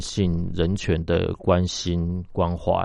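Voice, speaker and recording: A man is speaking. His pitch is very deep and low. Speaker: company founder and general manager. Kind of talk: radio interview. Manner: halting, many filler sounds.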